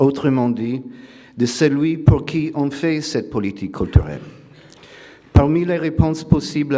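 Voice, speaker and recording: Speaking with a non-native accent, a man goes at a fairly slow pace with ordinary pitch variation amid audible room echo. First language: not French (speaking French). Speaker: philosopher. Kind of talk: lecture. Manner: reading aloud; hesitant, many filler sounds.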